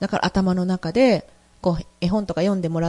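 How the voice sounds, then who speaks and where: A woman talks at a fairly quick pace in a dark, mellow tone. The sound is dry and close, with no echo. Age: 50s. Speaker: radio host. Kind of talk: personal storytelling monologue. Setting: studio.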